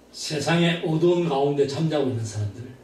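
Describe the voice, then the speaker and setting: Audible room echo surrounds a man with a fairly high pitch who talks at a moderate pace, sounding somewhat breathy, with lively intonation. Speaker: pastor. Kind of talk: sermon.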